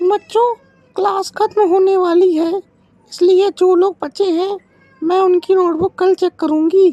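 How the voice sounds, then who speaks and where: In a cartoonish character voice, a woman speaks at an extremely high pitch. Her delivery is fairly slow and flat, in a monotone. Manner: firm, authoritative.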